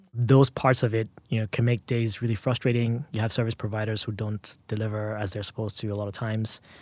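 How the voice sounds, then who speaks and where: In a very clean recording with a silent background and a dry, close sound with no echo, a man talks very fast with hardly any pauses in a monotone, flat intonation. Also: medium pitch for a man. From Nigeria (Lagos). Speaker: tech executive. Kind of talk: interview.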